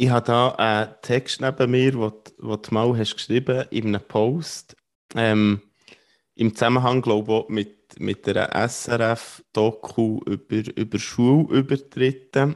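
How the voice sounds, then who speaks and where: Against a quiet background, a man talks at a very slow pace in a medium pitch with fairly even intonation. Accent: Swiss. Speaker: podcast host. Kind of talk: interview.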